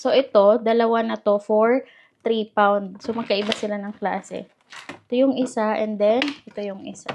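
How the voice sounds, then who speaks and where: Soft-spoken and fairly high-pitched, a woman talks at a moderate pace in a monotone, flat intonation, with big swings in loudness. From Philippines. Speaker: vlogger. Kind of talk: casual vlog chat. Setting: at home. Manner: soft-spoken, speaking quietly.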